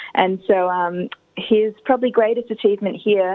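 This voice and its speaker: With an Australian accent, a woman talks at a moderate pace. Her pitch is medium and her intonation fairly even. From Adelaide, South Australia. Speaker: granddaughter of an honoured community figure. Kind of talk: interview. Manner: hesitant, with fillers.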